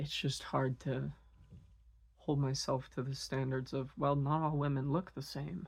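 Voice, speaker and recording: On a very clean recording with a silent background, a woman with a very deep, low pitch and a somewhat breathy voice speaks fairly slowly with fairly even intonation. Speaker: vlogger. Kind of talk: personal monologue. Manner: halting.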